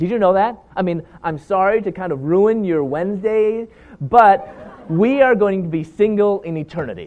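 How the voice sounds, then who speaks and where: Noticeable background noise sits behind a man speaking at a moderate pace with a high pitch. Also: ordinary pitch variation. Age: 40s. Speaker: Bible teacher and speaker. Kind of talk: lecture.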